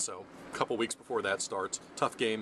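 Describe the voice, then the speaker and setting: The speaker talks with an American accent. Noticeable background noise runs under the voice. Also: man. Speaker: high school sports writer and video blogger. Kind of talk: sports preview monologue. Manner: fast; animated.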